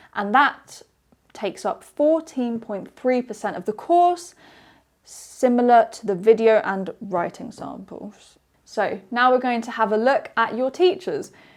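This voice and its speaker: A woman speaks in a British accent at a high pitch and a fairly slow pace. Her intonation is lively, and her loudness swings widely. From UK. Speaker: English teacher. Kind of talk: webinar presentation. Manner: clear, explanatory.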